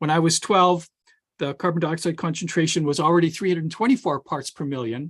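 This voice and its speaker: Against a quiet background, a man in a Canadian Prairie accent talks fairly quickly at a fairly high pitch, with ordinary pitch variation. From Saskatchewan, Canada (Regina). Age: 60s. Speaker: climatologist and professor. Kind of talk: webinar presentation. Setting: online webinar. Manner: hesitant, with repetitions and fillers.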